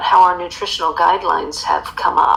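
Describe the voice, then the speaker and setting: With noticeable background noise behind her, a woman speaks at a fairly quick pace in an American accent. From United States. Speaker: author and emotional eating coach. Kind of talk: interview.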